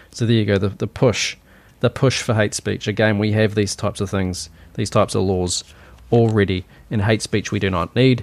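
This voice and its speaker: The speaker talks at a moderate pace with a New Zealand accent. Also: man, fairly low pitch for a man, fairly even intonation. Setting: home recording with vent noise. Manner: opinionated.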